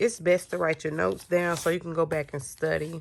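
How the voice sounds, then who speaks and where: A woman talks at a fairly quick pace in a fairly low pitch. She has a normal speaking voice. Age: 30s. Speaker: GED student and single mother. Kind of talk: casual talk to camera.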